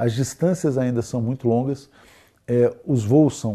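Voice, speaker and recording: A man's somewhat breathy voice sits at a medium pitch, moving at a moderate pace with ordinary pitch variation. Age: 50s. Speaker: international affairs expert. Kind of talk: interview discussion.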